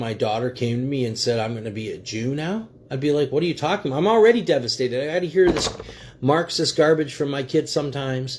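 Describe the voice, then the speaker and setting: Somewhat breathy and animated, the voice races along very fast with lively intonation. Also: man. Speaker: livestream commentator. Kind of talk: political commentary livestream.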